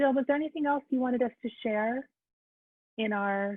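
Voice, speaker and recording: A woman is speaking. Her pace is fairly quick. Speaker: moderator and tech support. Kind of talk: online meeting moderation. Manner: fast; animated.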